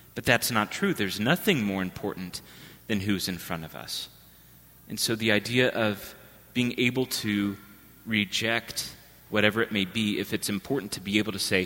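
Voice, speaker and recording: Soft-spoken and fairly low-pitched, a man talks at a fairly quick pace. His tone is bright and sharp, with ordinary pitch variation. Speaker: priest. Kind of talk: homily. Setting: church.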